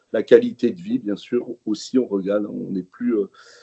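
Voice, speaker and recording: This man's voice has a medium pitch. The pitch moves in an ordinary way. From France, Jura. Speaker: regional politician. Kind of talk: webinar presentation. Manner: halting, many hesitations.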